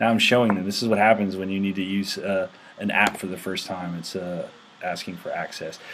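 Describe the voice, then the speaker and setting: Over noticeable background noise, a man with a fairly low pitch speaks fairly quickly in a monotone, flat intonation. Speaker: tech show host. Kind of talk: casual video chat tutorial. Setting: video call. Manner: halting, filler-heavy.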